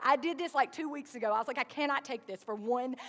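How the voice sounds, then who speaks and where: With a Southern US accent, a woman's voice moves in very wide pitch swings. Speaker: pastor. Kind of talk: sermon. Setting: church. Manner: conversational, casual.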